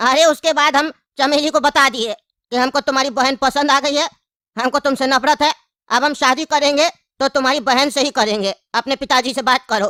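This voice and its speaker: A female-sounding, put-on character voice with high pitch at a moderate pace. The recording is very clean, with a silent background. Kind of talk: comic interview answer.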